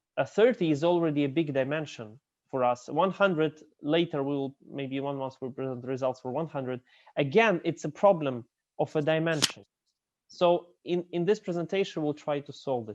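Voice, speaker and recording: A fairly high-pitched male voice at a moderate pace, with ordinary pitch variation. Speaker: professor. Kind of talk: lecture. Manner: halting.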